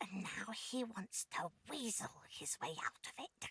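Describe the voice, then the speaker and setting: A female-sounding put-on character voice whispers at a fairly slow pace. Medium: video game. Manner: syrupy endearments laced with menace; playful, purring, predatory.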